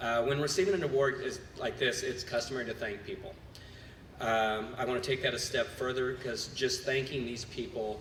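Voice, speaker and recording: With audible room echo in the space, a man talks at a medium pitch. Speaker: cheer gym owner and coach. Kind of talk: award acceptance speech. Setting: gala stage with audience. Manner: loud.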